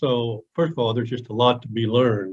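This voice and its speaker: A man speaks at a medium pitch with monotone, flat intonation. His voice is somewhat breathy. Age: 70s. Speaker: transportation business advisor. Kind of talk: webinar panel discussion.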